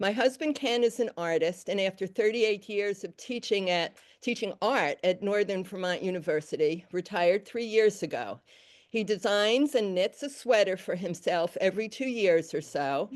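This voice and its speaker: Moderate pace in a New York accent, with ordinary pitch variation. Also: woman, medium pitch for a woman. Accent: New York accent, still remaining. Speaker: weaver and color design lecturer. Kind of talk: lecture. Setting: stage with audience. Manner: loud.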